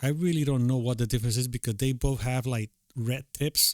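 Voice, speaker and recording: Recorded very cleanly against a silent background, with a dry, close sound and no echo, a man with a non-native accent speaks at a moderate pace and medium pitch. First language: not English. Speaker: tutorial creator, beatmaker. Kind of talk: screen-recorded tutorial. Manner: halting, many fillers; casual.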